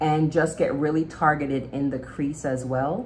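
Over light background noise, a woman speaks at a fairly slow pace in a very deep, low pitch. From Jamaica. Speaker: beauty vlogger. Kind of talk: casual makeup tutorial chat. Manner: animated. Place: home room. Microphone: phone near.

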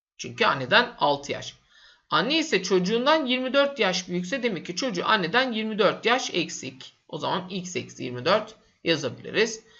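With a high pitch, a man talks at a fairly slow pace. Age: 30s. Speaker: math teacher. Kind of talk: tutorial. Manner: casual, with fillers.

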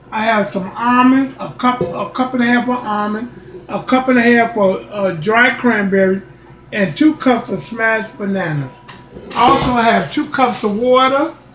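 Over noticeable background noise, a man talks at an extremely high pitch. His pace is moderate and his pitch variation ordinary. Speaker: home cooking channel host. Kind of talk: casual cooking tutorial. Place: home room. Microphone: phone near.

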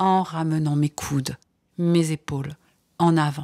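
A woman speaks at a fairly slow pace in a calm, soothing tone. The sound is dry and close with no echo, on a very clean recording with a silent background. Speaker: sophrologist and author. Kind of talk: guided relaxation exercise for children. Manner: calm, soothing, slow.

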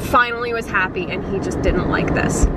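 Loud background noise surrounds a woman whose voice has a dry sound with no echo. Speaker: vlogger parent. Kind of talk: casual vlog chat. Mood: mildly frustrated, candid. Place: car. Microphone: phone near.

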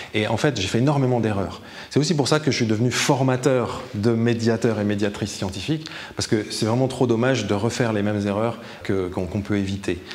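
Moving at a fairly quick pace, the man's voice shows ordinary pitch variation. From France. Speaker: science communicator; science communication trainer. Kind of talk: interview; interview answer. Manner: hesitant with repetitions. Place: hall.

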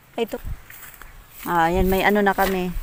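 A woman with a medium-pitched voice talks while noticeable background noise is present. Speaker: vlogger. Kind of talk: casual vlog narration. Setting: outdoors.

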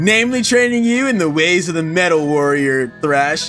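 Using a put-on character voice, a man speaks at a moderate pace in a high pitch over clear background noise. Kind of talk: reading game dialogue aloud during let's play.

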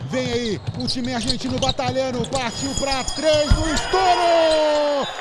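Someone talks in an animated tone against noticeable background noise. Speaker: basketball commentator. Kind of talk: live sports commentary. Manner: animated, exclaiming.

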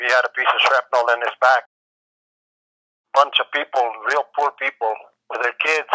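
With a bright, sharp tone and fairly high pitch, this man talks fairly quickly in a monotone, flat delivery, recorded dry and close with no echo. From New Mexico. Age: 80s+. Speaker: war veteran. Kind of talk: interview answer.

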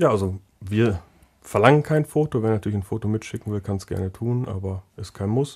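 A man's plain, everyday voice, fairly low in pitch, with ordinary pitch variation and a fairly quick pace. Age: 20s. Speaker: technical apprenticeship trainer. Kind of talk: casual interview.

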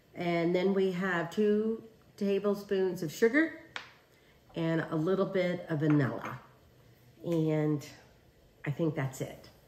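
Background noise is light and room echo is audible. A woman with a fairly low pitch speaks at a very slow pace, with long, frequent pauses. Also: ordinary pitch variation. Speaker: home cook host. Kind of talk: tutorial. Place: kitchen.

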